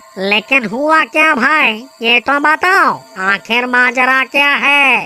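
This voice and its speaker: A cartoonish character voice speaks very slowly. Music plays in the background. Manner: casual, easygoing.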